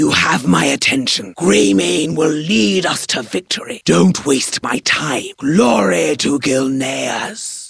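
In a put-on character voice, a woman talks at a fairly slow pace, raspy and with a very deep, low pitch. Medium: solo performance. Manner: stern, grim, commanding.

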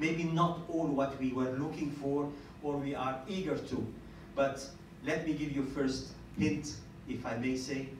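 Amid audible room echo, a man talks at a fairly slow pace with few pauses and fairly even intonation. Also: medium pitch for a man.

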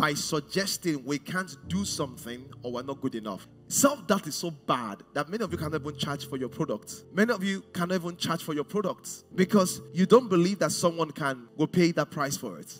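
A man at a moderate pace with hardly any pauses, with faint music in the background. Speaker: pastor. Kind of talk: sermon. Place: stage. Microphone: headset.

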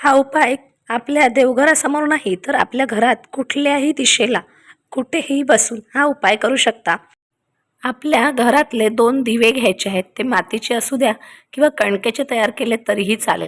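A woman's high-pitched voice with ordinary pitch variation, dry and close with no echo. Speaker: devotional remedy vlogger. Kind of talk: tutorial.

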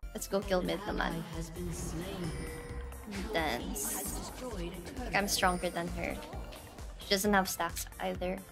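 Clear music plays in the background. Over it, a woman speaks at a very slow pace. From Philippines. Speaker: Twitch streamer, gamer. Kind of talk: casual gaming stream commentary. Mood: playful, dramatic frustration. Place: home room.

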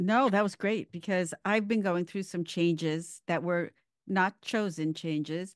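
A woman talks at a fairly slow pace in an ordinary speaking voice. The background is quiet. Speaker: wellness podcast host and qigong teacher. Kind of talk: interview.

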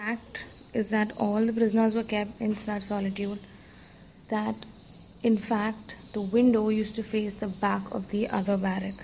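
A woman talks at a moderate pace with monotone, flat intonation. Light background noise can be heard. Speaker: travel vlogger. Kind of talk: casual vlog chat. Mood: awed, somber. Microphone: phone near.

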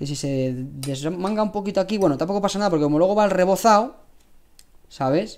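A man speaks at a fairly quick pace with a Spanish accent. He leaves long, frequent pauses. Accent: Peninsular Spanish. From Spain. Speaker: cooking channel host. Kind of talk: live cooking stream. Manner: casual, chatty. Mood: relaxed, friendly. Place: kitchen. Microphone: lapel.

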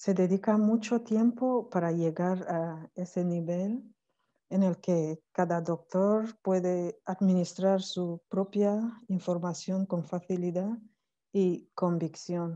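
Over a quiet background, a woman speaks very slowly at a medium pitch, her tone dark and mellow and her intonation fairly even. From Cameroon. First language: not Spanish (French or Cameroonian language) (speaking Spanish). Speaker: academic, PhD in languages. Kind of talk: online conference talk. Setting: video call from Cameroon. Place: home room. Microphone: earbuds.

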